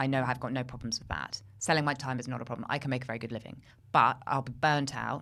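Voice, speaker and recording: A woman speaks at a very fast pace in a very deep, low pitch. Her tone is bright and sharp, with fairly even intonation. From UK, half American half British. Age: 40s. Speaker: media trainer, former broadcast journalist. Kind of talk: casual chat.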